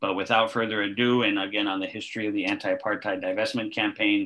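Against a quiet background, the speaker moves at a fairly quick pace with fairly even intonation. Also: man. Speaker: college instructor and organizing trainer. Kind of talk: moderated discussion. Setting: video call. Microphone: webcam.

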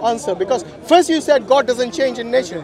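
Lively intonation carries over crowd noise in the background, and the sound is dry with no echo. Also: man. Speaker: street debater. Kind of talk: heated debate argument. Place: open country. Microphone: phone near.

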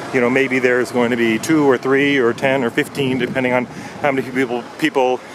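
A man speaks at a fairly quick pace with monotone, flat intonation. The sound is dry with no echo, and there is noticeable background noise. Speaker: travel guide vlogger. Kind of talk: tutorial. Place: station. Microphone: phone near.

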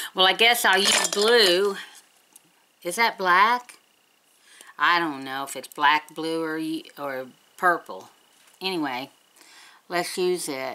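A woman speaks very slowly at a fairly low pitch, her tone bright and sharp. Her intonation is lively, her loudness swings widely, and she takes long, frequent pauses. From West Virginia, US. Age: 60s. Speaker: beauty vlogger. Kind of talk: casual chat. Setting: home. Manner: chatty. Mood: chatty, upbeat. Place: home room. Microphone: webcam.

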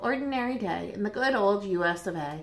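In a natural reading voice, the speaker reads with lively intonation.

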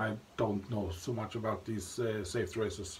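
Light background noise accompanies a man as he speaks. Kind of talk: casual vlog chat. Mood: relaxed, cheerful. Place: bathroom. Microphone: phone near.

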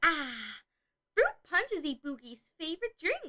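A woman's bubbly put-on character voice, extremely high in pitch, at a fairly slow pace. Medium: audio drama. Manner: speaks of herself in third person, bubbly.

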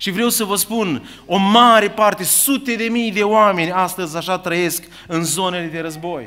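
With a raised, projected voice, a man talks at a fairly slow pace and a high pitch. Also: ordinary pitch variation. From Ukraine, Chernivtsi region; Ukraine. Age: 50s. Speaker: preacher. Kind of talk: sermon. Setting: church. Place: church. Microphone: podium.

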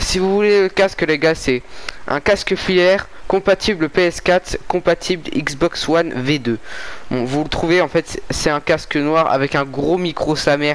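A fairly high male voice at a fairly slow pace, with long, frequent pauses and ordinary pitch variation. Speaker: gaming youtuber. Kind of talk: let's play commentary. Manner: animated. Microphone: new cheap wired headset mic; headset.

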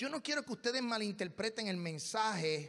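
A man's lively intonation carries at a moderate pace over a quiet background. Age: 40s. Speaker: pastor. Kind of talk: sermon. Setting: church. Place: church. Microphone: handheld.

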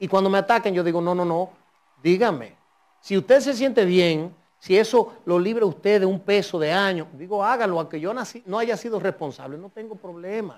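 Against a quiet background, the voice moves at a moderate pace with big swings in loudness and ordinary pitch variation. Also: man, high pitch for a man. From Dominican Republic. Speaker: politician, party president; politician. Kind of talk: political interview. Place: studio. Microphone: lapel.

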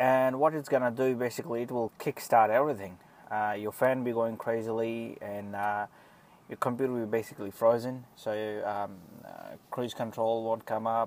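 Delivered at a moderate pace, the speech has monotone, flat intonation and a dry sound with no echo. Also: man. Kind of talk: casual explanatory vlog. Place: car. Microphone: phone near.

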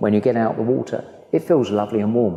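A man is speaking. Room echo is audible around his voice. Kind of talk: guided tour explanation. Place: hall.

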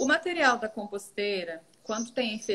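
Using an ordinary speaking voice, a woman talks fairly slowly at a fairly high pitch. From Goiás, Brazil. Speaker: teacher and composting student; teacher. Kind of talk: live Q&A video chat. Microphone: video call.

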